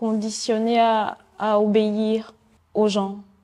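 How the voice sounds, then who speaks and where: Her voice is fairly high in pitch with a dark, mellow tone, and this woman speaks in a monotone, flat intonation. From Benin, Porto-Novo. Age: 20s. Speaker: painter and art student. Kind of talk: interview conversation. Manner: halting, many hesitations.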